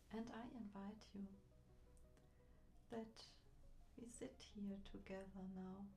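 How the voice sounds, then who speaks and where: Soft-spoken, the voice moves at a very slow pace with long, frequent pauses. Music plays in the background. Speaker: meditation guide. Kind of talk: ASMR guided relaxation.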